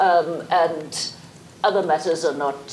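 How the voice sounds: A woman talks slowly in a low, slightly mellow voice with ordinary pitch variation. Faint background noise can be heard.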